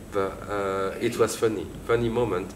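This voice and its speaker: A man speaks with a French accent. The room echo is audible. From France. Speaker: theatre director. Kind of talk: interview. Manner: halting.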